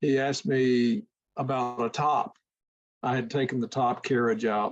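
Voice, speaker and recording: Speaking in an unremarkable speaking voice, a man keeps a medium pitch with ordinary pitch variation. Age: 60s. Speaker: classic car owner. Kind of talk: video call Q&A. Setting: video call.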